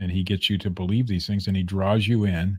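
In an American accent, a plain, everyday voice moves at a fairly quick pace on a very clean recording with a silent background. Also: man. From Ohio. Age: 40s. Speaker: podcast co-host. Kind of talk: casual chat.

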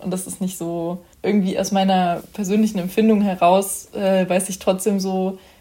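Somewhat breathy and dark, mellow in tone, a woman speaks at a moderate pace with monotone, flat intonation. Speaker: podcast host, youth council member. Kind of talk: casual interview.

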